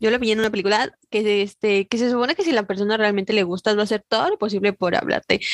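Very fast, nearly pause-free speech from a woman, fairly high in pitch with ordinary variation, very even in loudness, in a dry, close sound with no echo. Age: 20s. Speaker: podcast co-host. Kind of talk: casual chat.

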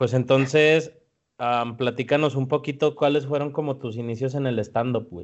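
Speaking with a Mexican accent, a man talks at a moderate pace and medium pitch with fairly even intonation. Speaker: podcast host. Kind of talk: casual chat.

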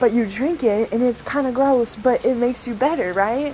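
Over noticeable background noise, the speech moves at a fairly slow pace with ordinary pitch variation. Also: woman. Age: 20s. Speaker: Reiki practitioner. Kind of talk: casual monologue. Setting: live stream.

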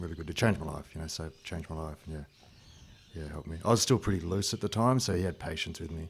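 A very deep, low-pitched man with an Australian accent, very fast and somewhat breathy, with ordinary pitch variation and big swings in loudness. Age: 30s. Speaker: security trainer and martial artist. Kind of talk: casual chat.

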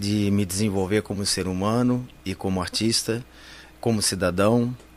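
A man talks at a fairly slow pace in a fairly low voice. His intonation is monotone and flat. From Campinas, São Paulo state, Brazil. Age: 60s. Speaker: actor and clown. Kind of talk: interview.

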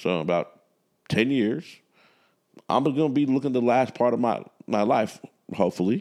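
Against a quiet background, a man with a medium pitch talks at a moderate pace with lively intonation. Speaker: podcast host. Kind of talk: casual chat. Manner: self-conscious about mumbling.

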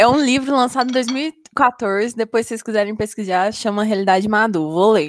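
Here is a woman with an ordinary speaking voice and a fairly high pitch. She talks at a fairly quick pace with ordinary pitch variation. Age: 20s. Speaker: podcast co-host, student. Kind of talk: casual chat.

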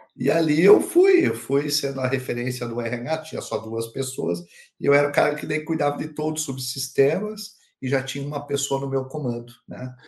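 This man has a plain, everyday voice, pitched fairly high, with ordinary pitch variation and a moderate pace. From Curitiba, southern Brazil. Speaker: HR director and speaker. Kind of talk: interview conversation.

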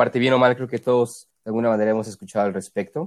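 On a very clean recording with a silent background, a man speaks at medium pitch with ordinary pitch variation in an unremarkable speaking voice. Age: 20s. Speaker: podcast co-host. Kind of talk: casual chat.

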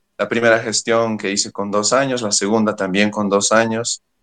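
An unremarkable speaking voice from a fairly low-pitched man, dry and close with no echo. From Bolivia, Oruro. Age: young. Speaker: youth pastor. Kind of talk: interview.

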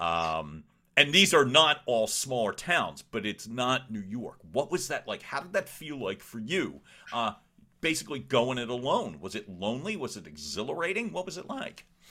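A man with a medium pitch and a bright, sharp tone has vocal fry and very wide pitch swings. His animated delivery moves at a moderate pace with big swings in loudness. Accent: American. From Philadelphia, US. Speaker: podcast host, communication coach. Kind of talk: interview conversation; scripted outro.

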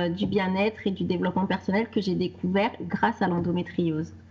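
A woman speaks in a somewhat breathy voice. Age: 30s. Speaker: wellness coach. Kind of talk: interview. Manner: halting.

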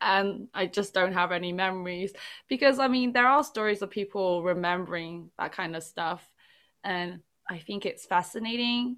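British-accented speech from a woman, with ordinary pitch variation. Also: medium pitch for a woman, moderate pace. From England, Chinese family. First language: Chinese. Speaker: podcast host. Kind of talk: casual chat.

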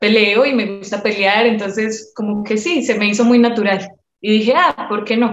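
Speaking fairly slowly, a woman with an ordinary speaking voice keeps a fairly high pitch and fairly even intonation. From Colombia, Medellín. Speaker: professional MMA fighter. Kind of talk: interview.

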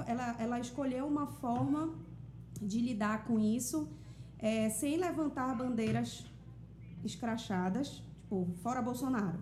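A woman talks at a fairly slow pace with high pitch and very wide pitch swings. Audible room echo surrounds her voice. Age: 30s. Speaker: singer-songwriter and influencer. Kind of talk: casual chat.

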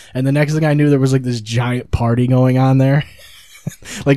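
Noticeable background noise sits behind a man's voice. He speaks at a medium pitch in monotone, flat intonation. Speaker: podcast host. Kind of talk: casual banter.

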